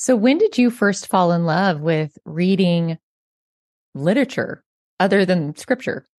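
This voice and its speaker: An ordinary speaking voice moves at a fairly slow pace with lively intonation and very even loudness. The sound is dry and close, with no echo. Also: woman, medium pitch for a woman. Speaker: podcast host. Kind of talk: interview conversation.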